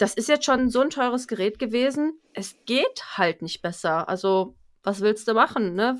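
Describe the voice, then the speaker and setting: An ordinary speaking voice with lively intonation, on a very clean recording against a silent background. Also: woman, fairly high pitch for a woman. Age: 30s. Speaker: home appliance sales consultant. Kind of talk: casual interview chat.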